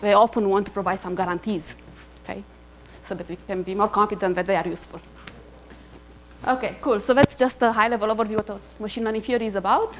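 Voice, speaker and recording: A woman talks at a very fast pace with fairly even intonation, yet leaves long, frequent pauses. Noticeable background noise runs underneath. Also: medium pitch for a woman. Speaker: university lecturer. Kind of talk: lecture. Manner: hesitant with many fillers.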